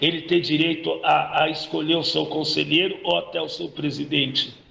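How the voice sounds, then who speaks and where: Noticeable background noise runs behind the speech. A man talks at a fairly slow pace. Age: 50s. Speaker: football supporters' group president. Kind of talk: podcast interview.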